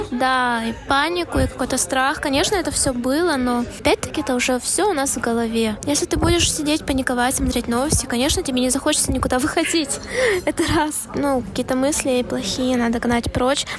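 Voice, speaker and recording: A woman with a high pitch talks at a fairly quick pace with very even loudness, over noticeable background noise. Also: ordinary pitch variation. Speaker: podcast co-host. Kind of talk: casual chat. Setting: cafe.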